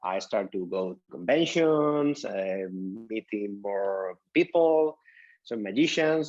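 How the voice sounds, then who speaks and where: Very slowly and with lively intonation, a man talks in a Spanish accent. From southern Spain, Huelva. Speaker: magician. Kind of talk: casual interview. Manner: halting, many fillers and restarts.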